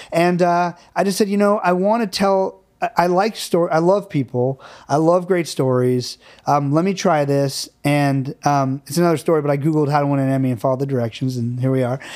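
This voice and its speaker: A man talks at a fairly quick pace in a fairly high voice with ordinary pitch variation, a normal speaking voice. The recording is very clean, with a silent background. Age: 40s. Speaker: film director and producer. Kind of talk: casual chat.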